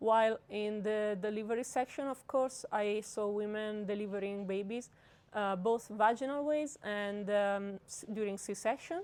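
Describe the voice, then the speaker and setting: A woman's fairly high voice at a fairly slow pace, with fairly even intonation and an Italian accent. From Italy. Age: 20s. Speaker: medical student. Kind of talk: interview answer. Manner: hesitant, many fillers.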